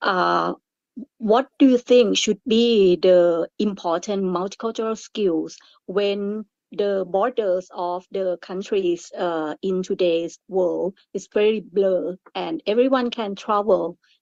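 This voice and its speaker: A woman with a Thai accent at a very slow pace, medium in pitch with ordinary pitch variation, the sound dry and close with no echo. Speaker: webinar moderator. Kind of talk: panel discussion moderation. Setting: webinar.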